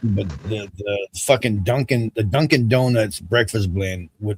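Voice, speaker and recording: A somewhat breathy voice at a fairly slow pace with ordinary pitch variation, dry and close with no echo. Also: man. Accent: American. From US South. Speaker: livestream host. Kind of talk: casual chat.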